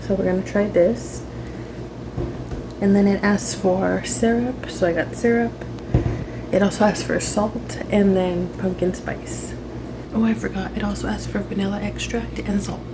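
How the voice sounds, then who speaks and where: Amid noticeable background noise and audible room echo, a woman speaks at a moderate pace with long, frequent pauses. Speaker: lifestyle vlogger. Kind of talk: casual vlog tutorial. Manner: hesitant, many fillers.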